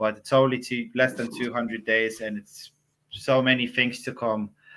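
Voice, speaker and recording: Over music in the background, a man with a medium-pitched voice speaks at a fairly slow pace. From Lithuania. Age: 30s. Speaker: crypto community manager. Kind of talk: interview. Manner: hesitant, many fillers.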